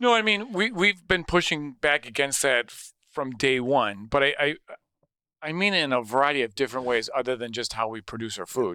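In an American accent, a man talks at a fairly quick pace with a fairly high pitch and a bright, sharp tone, his pitch swinging very widely and his loudness in big swings, on a very clean recording with a silent background. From Wisconsin (Sussex, near Milwaukee). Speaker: chef and restaurant owner. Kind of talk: casual chat.

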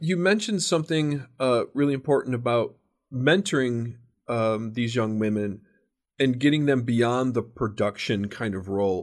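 With a quiet background, a man speaks at a moderate pace in a plain, everyday voice. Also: medium pitch for a man, lively intonation. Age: 50s. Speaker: podcast host. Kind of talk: casual interview.

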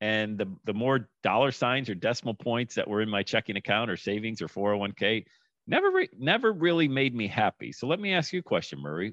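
With a normal speaking voice, a man talks at a fairly quick pace in a medium pitch and with lively intonation. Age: 50s. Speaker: podcast host. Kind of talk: casual interview chat.

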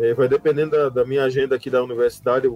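A man's dark, mellow tone with lively intonation comes through as a dry, close sound with no echo. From Paraíba, Brazil (João Pessoa). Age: 40s. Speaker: university music professor and trombonist. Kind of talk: casual interview.

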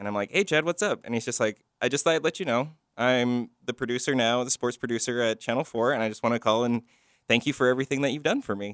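In a very clean recording with a silent background and a dry, close sound with no echo, a man with a medium pitch speaks at a very fast pace with ordinary pitch variation. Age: 20s. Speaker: college media instructor. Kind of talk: casual chat. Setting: studio.

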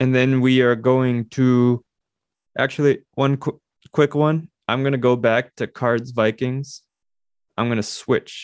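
In a dry, close sound with no echo and a quiet background, a man speaks at a medium pitch and a fairly slow pace, in a monotone, flat intonation broken by long, frequent pauses. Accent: American. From Minnesota. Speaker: sports podcast co-host. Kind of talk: casual chat.

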